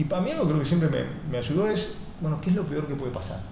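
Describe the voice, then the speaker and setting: Audible room echo follows a man speaking at a fairly high pitch. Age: 40s. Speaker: entrepreneur and author. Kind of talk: interview. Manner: hesitant, repeats words and fillers.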